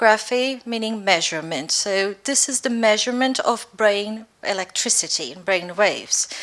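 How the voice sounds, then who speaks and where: A woman talks with a Brazilian accent. Her pace is moderate. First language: Portuguese. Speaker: neuroscience researcher. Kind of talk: lecture. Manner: clear, careful pace.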